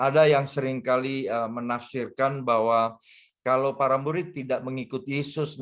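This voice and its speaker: A man talks at a moderate pace with a slight Manado accent. His pitch sits in the medium range. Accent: weak Manado. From Jakarta, Indonesia. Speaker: pastor. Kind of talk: sermon. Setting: video call. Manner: hesitant, with fillers.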